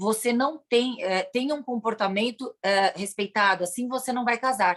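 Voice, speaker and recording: Using ordinary pitch variation, a woman speaks at a moderate pace with a fairly high pitch. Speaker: police chief. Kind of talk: lecture. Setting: video call. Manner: halting.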